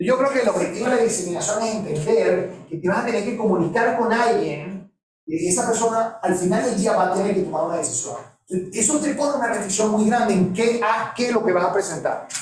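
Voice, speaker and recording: Amid audible room echo, a man with a high pitch and ordinary pitch variation talks at a fairly quick pace. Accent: Venezuelan. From Venezuela. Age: 50s. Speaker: professor. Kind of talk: lecture.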